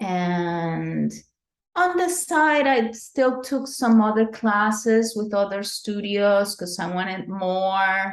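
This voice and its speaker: Speaking with a Spanish accent, a woman uses a medium pitch and ordinary pitch variation. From Venezuela. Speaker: dance professor. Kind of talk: interview.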